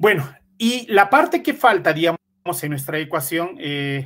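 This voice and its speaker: A man's high pitch with a bright, sharp tone, very wide pitch swings, and a fairly slow pace. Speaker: computational chemist, researcher. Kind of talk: lecture; Q&A answers. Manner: hesitant, many fillers.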